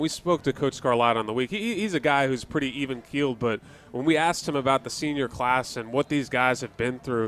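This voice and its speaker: Using an ordinary speaking voice with ordinary pitch variation, the speaker moves at a fairly quick pace with hardly any pauses. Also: man, medium pitch for a man. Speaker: color commentator and sideline interviewer. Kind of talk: sports color commentary and interview questions.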